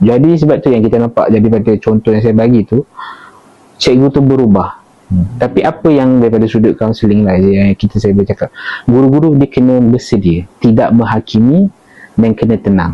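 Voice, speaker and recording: A man speaks in a normal speaking voice at a medium pitch and a fairly quick pace. He shows ordinary pitch variation and very even loudness. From Malaysia, Perak. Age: 20s. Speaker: counselling officer. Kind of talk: casual interview.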